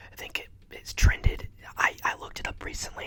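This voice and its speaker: A man with an American accent whispers at a moderate pace. Noticeable background noise is present. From Ohio, USA. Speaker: ASMR creator. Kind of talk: casual talk to camera.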